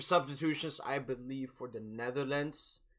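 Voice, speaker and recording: A man with a non-native accent talks at a fairly slow pace and fairly high pitch, with fairly even intonation. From Sweden. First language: not English. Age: 20s. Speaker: football streamer. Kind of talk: live watch-along commentary and chat. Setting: live stream. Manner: casual, hesitant with repetitions.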